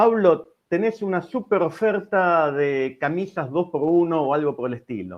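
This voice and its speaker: A man's high-pitched voice with lively intonation and hardly any pauses. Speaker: engineering researcher giving a webinar. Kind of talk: technical lecture. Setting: online webinar. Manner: hesitant fillers.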